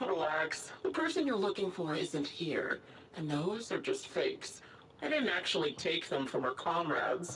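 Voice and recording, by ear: A woman puts on a character voice with a low pitch and fairly bright tone, making big pitch swings at a fairly slow pace amid audible room echo.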